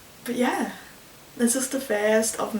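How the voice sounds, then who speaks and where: Over noticeable background noise and audible room echo, a woman speaks with a fairly high pitch. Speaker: vlogger. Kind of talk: casual vlog monologue. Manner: fast.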